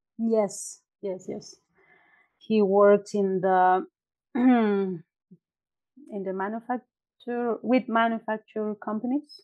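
With a Mexican accent, a woman speaks at a very slow pace with long, frequent pauses and fairly even intonation, recorded dry and close with no echo against a quiet background. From Mexico (Puebla, then State of Mexico). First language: Spanish. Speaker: entrepreneur and university graduate. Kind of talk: interview, casual chat. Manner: hesitant, some pauses and filler.

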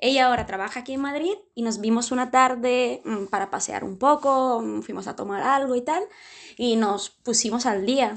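High-pitched woman's voice with ordinary pitch variation, at a moderate pace, over a quiet background. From southern Italy, Puglia. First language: Italian (speaking Spanish). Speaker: dating show participant. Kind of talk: casual chat. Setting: video call.

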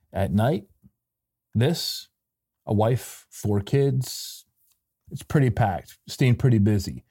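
A very slow American-accented man's voice, medium in pitch with ordinary pitch variation, dark and mellow in tone, somewhat breathy, with long, frequent pauses on a very clean recording with a silent background. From Michigan, US Midwest. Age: 40s. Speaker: podcast host. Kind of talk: unscripted solo monologue.

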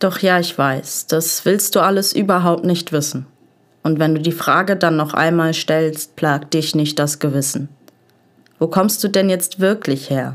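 A woman with an unremarkable speaking voice talks at a fairly slow pace, with fairly even intonation and very even loudness. The recording is very clean, with a silent background. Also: fairly low pitch for a woman. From Essen, Ruhr area, Germany. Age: 20s. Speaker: poetry slam writer and social work student. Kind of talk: poetry slam performance.

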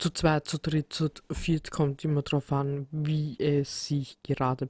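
A woman with a very deep, low pitch and a dark, mellow tone speaks in a monotone, flat intonation at a fairly slow pace, in a very clean recording with a silent background. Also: dry, close sound with no echo. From Austria, Vienna. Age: 30s. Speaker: podcast host. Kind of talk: solo podcast introduction. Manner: hesitant with many fillers.

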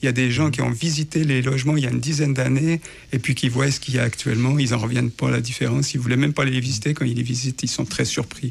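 The speech runs at a very fast pace, with fairly even intonation and very even loudness. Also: man, medium pitch for a man. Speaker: housing search support worker. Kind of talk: radio interview. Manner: hesitant, many fillers.

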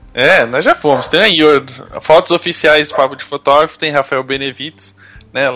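There is noticeable background noise as a man speaks. His pitch is fairly high, and his intonation stays fairly even. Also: moderate pace. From Brazil. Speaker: podcast host. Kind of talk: casual chat.

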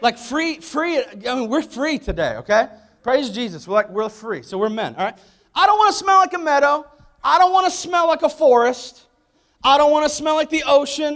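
An animated tone at a fairly quick pace, with lively intonation. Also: man. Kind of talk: sermon with comic rant. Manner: animated, emphatic, humorous; punchy, mock-macho, building in intensity.

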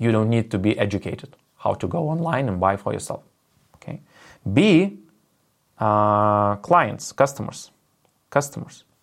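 Lively intonation in a Lithuanian accent is broken up by long, frequent pauses. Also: man, medium pitch for a man, moderate pace. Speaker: business presenter. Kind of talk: online business presentation. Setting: video call webinar. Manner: halting with many fillers.

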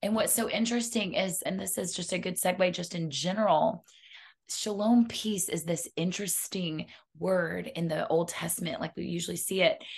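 A woman talks at a moderate pace with a medium pitch and vocal fry. Her pitch varies in an ordinary way. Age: 40s. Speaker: health and wellness coach. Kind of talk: casual chat.

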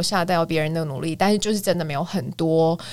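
Speaking with a Taiwanese accent, a woman with a fairly low pitch talks at a fairly quick pace with lively intonation. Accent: Taiwanese Mandarin. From Taiwan, Kaohsiung. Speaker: musical theatre singer and voice teacher. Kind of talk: casual chat.

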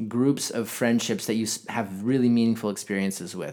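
The recording is very clean, with a silent background. A man with an ordinary speaking voice talks at a medium pitch with ordinary pitch variation. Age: 20s. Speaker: podcast host. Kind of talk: casual chat.

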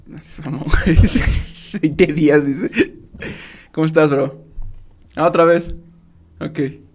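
Over noticeable background noise, a man talks very slowly at a fairly high pitch with monotone, flat intonation. Long, frequent pauses break his speech, and his loudness swings widely. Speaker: podcast co-host. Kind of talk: casual chat.

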